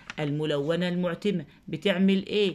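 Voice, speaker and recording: The speaker is a woman with a fairly low pitch. The recording is very clean, with a silent background. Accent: Egyptian. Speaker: teacher. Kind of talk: lesson tutorial. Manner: slow, repetitive dictation.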